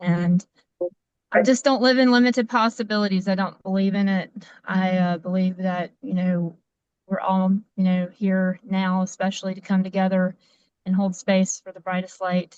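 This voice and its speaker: At a moderate pace and medium pitch, a woman speaks with fairly even intonation but big swings in loudness. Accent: strong Appalachian. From US South. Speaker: community member. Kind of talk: self-introduction on a community call.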